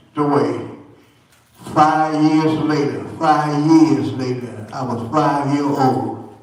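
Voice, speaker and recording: In a room with audible echo and noticeable background noise, a man speaks very slowly at a fairly high pitch. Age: 80s+. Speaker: church elder giving testimony. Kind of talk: church testimony. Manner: halting.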